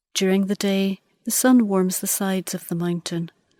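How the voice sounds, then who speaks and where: Her tone is dark and mellow, a woman at medium pitch speaking at a fairly slow pace. The sound is dry and close, with no echo. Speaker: guided meditation narrator. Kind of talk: guided meditation.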